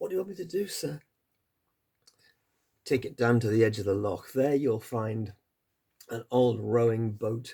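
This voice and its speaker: Using a raspy put-on character voice, a man speaks at a medium pitch and a moderate pace. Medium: read story. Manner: authoritative, imperious.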